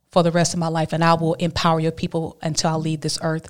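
Speaking at a fairly quick pace in a Southern US accent, a woman keeps a fairly low pitch and a monotone, flat intonation. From Alabama. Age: 40s. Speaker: abstinence advocate and speaker. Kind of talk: testimony.

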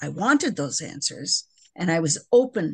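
Over a quiet background, a woman speaks slowly-ish at a very deep, low pitch with vocal fry. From US Midwest. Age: 70s. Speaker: person in recovery. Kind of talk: casual chat.

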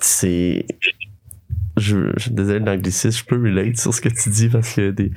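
A man's dark, mellow voice, fairly low in pitch, very slow and fairly even in intonation, with long, frequent pauses. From Quebec, Sherbrooke region. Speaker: podcast host. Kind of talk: casual interview. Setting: studio.

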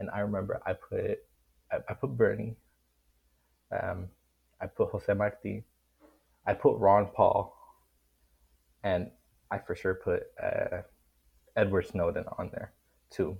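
The talking moves at a fairly slow pace with long, frequent pauses against a quiet background. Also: man. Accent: Miami. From Miami, Florida. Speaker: college student guest. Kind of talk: casual political discussion.

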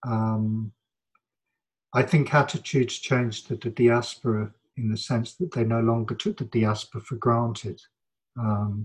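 A man's medium-pitched voice comes out somewhat breathy, and his intonation stays fairly even. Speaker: academic interviewee. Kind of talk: interview conversation. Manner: reflective, hesitant.

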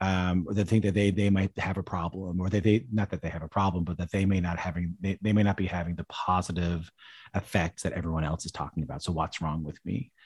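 A man's very deep, low voice at a very fast pace, in a very clean recording with a silent background. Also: fairly even intonation, dry, close sound with no echo. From Newfoundland, Canada (St. John's). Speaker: musician and radio broadcaster. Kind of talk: interview. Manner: halting, many fillers and repetitions.

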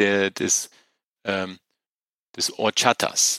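In a dry, close sound with no echo, a man speaks at a very slow pace with a bright, sharp tone. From northern Germany (Wolfenbüttel). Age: 40s. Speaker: business executive. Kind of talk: interview. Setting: video call.

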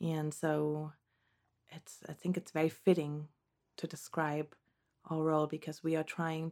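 Recorded very cleanly against a silent background, a woman with a German accent speaks at a moderate pace in a very deep, low pitch. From Germany. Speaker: postpartum doula. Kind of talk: interview. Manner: hesitant, many fillers.

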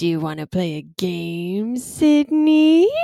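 A female-sounding put-on character voice in a medium pitch moves at a fairly slow pace, with very wide pitch swings. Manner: creepy, playful.

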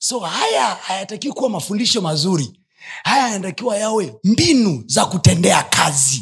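With an animated tone, a man speaks at a high pitch that swings very widely. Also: moderate pace. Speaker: pastor. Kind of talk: sermon.

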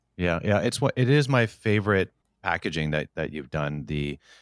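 A man talks with vocal fry. The sound is dry and close, with no echo. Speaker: podcast host. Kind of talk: interview conversation.

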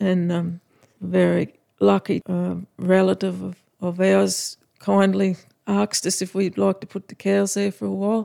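In a dry, close sound with no echo, a woman talks at a fairly slow pace. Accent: rural Australian. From Australia, outback Queensland (Winton). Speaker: cattle farmer. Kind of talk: interview, casual chat.

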